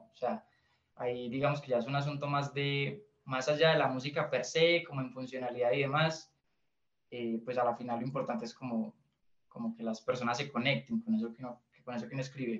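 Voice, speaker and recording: A man speaks at a medium pitch with a Colombian Paisa accent. His pace is fairly quick, and his pitch varies in an ordinary way. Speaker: indie musician, pianist. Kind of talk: interview.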